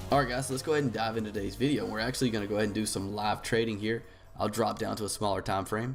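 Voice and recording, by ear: With music in the background, a man puts on a raspy, hoarse character voice at medium pitch, racing at a very fast pace with fairly even intonation.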